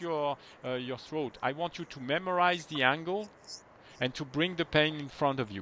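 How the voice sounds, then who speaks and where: Using lively intonation, a man with a French accent speaks at a fairly high pitch. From France. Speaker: movement technique teacher. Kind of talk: one-on-one lesson.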